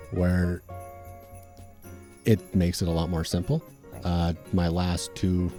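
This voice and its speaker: A man's very deep, low voice at a moderate pace, with music in the background. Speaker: comic book creator. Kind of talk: interview answer. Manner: hesitant, casual.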